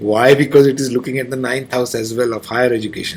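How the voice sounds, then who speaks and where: Music plays in the background as a man talks at medium pitch and a fairly quick pace. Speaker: astrologer. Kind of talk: lecture. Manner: fast.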